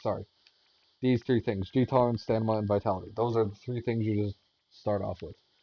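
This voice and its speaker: Speaking very fast, a man uses a medium pitch and fairly even intonation. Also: dry, close sound with no echo. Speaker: gaming tutorial creator. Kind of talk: tutorial. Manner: halting.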